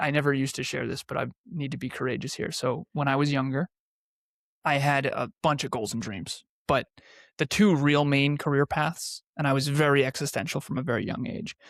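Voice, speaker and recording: Speaking at a fairly quick pace, a man with an ordinary speaking voice and fairly high pitch uses ordinary pitch variation, recorded very cleanly against a silent background with dry, close sound and no echo. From New England, US. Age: 30s. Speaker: entrepreneur and podcaster. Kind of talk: interview.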